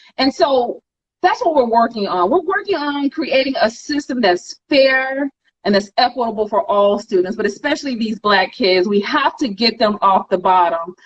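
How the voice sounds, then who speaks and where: A loud woman with an animated tone, a fairly high pitch, very wide pitch swings and a moderate pace. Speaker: school board candidate. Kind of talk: interview.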